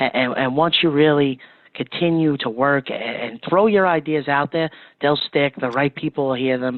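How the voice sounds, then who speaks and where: A man speaks at a fairly quick pace in an ordinary speaking voice, his medium pitch showing ordinary pitch variation. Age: 20s. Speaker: plumbing company marketing manager. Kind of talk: interview.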